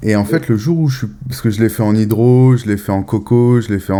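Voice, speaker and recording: A man speaks at a fairly quick pace. Noticeable noise sits in the background. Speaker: podcast host, cannabis grower. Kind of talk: casual chat. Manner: halting, with repetitions.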